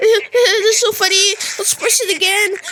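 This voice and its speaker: A woman does a cartoonish character voice at an extremely high pitch, speaking at a fairly slow pace. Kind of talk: comic overacting. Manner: giggly, playful.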